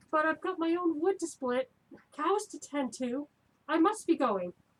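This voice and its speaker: A put-on character voice pitched high. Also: moderate pace. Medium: stage play. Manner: nervous, evasive.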